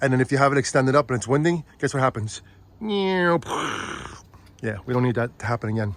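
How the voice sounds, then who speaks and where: A man's animated, medium-pitched voice at a fairly quick pace, with ordinary pitch variation. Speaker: Halloween decor vlogger. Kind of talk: casual vlog chat. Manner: fast.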